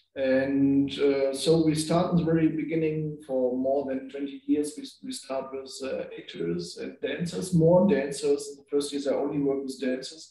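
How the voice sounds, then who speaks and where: Speaking with a German accent at a moderate pace, a man with a fairly high pitch and ordinary pitch variation barely pauses, his loudness swinging widely. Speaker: performance director. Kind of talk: panel discussion. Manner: halting.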